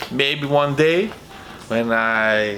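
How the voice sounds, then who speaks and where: Through noticeable background noise, a man with a non-native accent talks at a medium pitch with ordinary pitch variation. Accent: non-native, self-described bad pronunciation. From Brazil. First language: Portuguese. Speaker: vinyl record YouTuber. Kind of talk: casual vlog contest entry. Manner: halting, many fillers.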